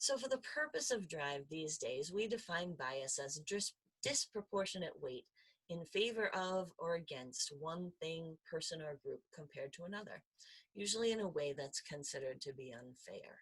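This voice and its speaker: A somewhat breathy voice at a moderate pace, with very wide pitch swings. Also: woman, big swings in loudness. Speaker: faculty presenter on diversity in education. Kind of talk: conference presentation.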